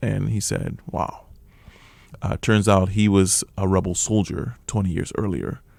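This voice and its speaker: In an ordinary speaking voice, a man with an American accent talks at a fairly slow pace and fairly low pitch, with ordinary pitch variation. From Liberia. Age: 40s. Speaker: refugee sharing life story. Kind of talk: radio interview testimony. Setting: radio studio.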